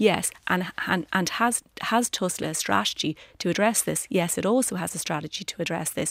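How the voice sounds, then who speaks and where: A woman's medium-pitched voice with an Irish accent, at a moderate pace with ordinary pitch variation and hardly any pauses. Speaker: politician. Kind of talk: radio panel debate.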